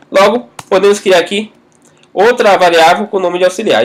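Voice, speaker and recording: At a fairly quick pace, a man speaks at a high pitch with fairly even intonation. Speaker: programming tutor. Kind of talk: tutorial. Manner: fast.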